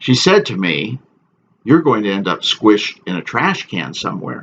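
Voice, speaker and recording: A man speaks at a fairly slow pace with vocal fry. His pitch swings very widely. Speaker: author. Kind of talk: casual introduction to camera.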